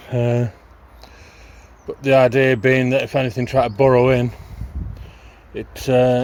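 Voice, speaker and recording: A man speaks at a medium pitch and a fairly slow pace, his intonation monotone and flat. Long, frequent pauses break up his speech. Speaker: allotment gardening vlogger. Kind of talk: casual vlog narration. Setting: outdoors at allotment. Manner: loud.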